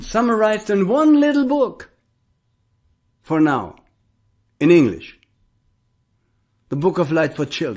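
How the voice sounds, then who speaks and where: Speaking in a German accent at a fairly slow pace, the voice makes very wide pitch swings and leaves long, frequent pauses. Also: man, high pitch for a man. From Germany. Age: 70s. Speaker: spiritual teacher. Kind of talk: spiritual talk.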